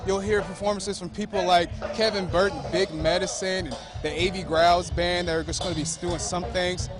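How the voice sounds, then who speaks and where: A man's high voice at a fairly quick pace, with music in the background. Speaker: TV news reporter. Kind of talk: TV news reporter reel, live field reporting and interviews. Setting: outdoors, live festival remote. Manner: upbeat, energetic, casual.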